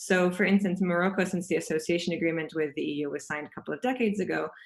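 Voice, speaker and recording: Delivered at a very fast pace with ordinary pitch variation, the voice comes through on a very clean recording with a silent background. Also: woman, fairly low pitch for a woman. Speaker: panelist at a policy webinar. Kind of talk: presentation.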